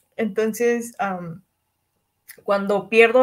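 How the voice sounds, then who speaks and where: Her speech is very slow, and her pitch is fairly high for a woman. The intonation holds fairly even. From Cancún, Mexico. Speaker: podcast co-host. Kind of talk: casual chat.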